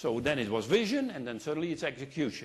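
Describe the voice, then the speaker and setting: Here a man speaks with a Dutch accent. His pitch swings very widely. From Netherlands. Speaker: consultant and keynote speaker. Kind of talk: keynote speech. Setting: stage with audience. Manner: animated.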